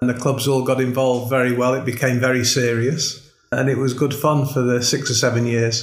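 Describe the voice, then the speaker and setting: A man speaks at a moderate pace and a medium pitch, in a monotone, flat delivery with hardly any pauses. Audible room echo and noticeable background noise fill the recording. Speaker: golf club director, former pro golfer. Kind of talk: casual chat. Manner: hesitant, many fillers.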